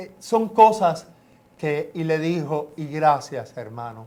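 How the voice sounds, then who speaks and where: A man is talking. The variation in his pitch is ordinary. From Cuba. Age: 70s. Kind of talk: testimony.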